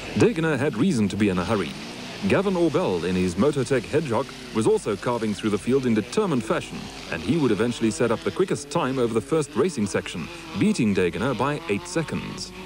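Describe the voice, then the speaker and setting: Very wide pitch swings mark a man's voice at a very fast pace. Noticeable background noise is present. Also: medium pitch for a man. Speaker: race recap narrator. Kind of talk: 1980s motorsport TV recap narration, scripted voice-over. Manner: formal, polished broadcaster delivery; brisk, steady, upbeat, dryly witty at times.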